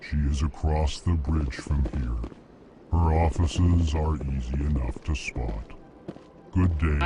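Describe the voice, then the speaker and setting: A man speaks fairly slowly in a put-on character voice, pitched very deep and low, over clear background noise. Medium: machinima. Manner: formal, stilted.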